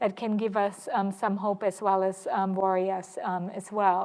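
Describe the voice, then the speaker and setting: A woman talks at a medium pitch. The background is quiet. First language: German. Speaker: historian, panel moderator. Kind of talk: panel discussion moderation. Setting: lecture hall with audience. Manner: halting, many fillers.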